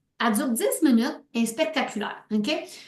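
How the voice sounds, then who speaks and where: This voice has a Quebec accent and lively intonation at a fairly slow pace. Audible room echo surrounds it. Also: woman. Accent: Québécois French. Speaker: sales team leader. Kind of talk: team meeting pep talk. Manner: animated.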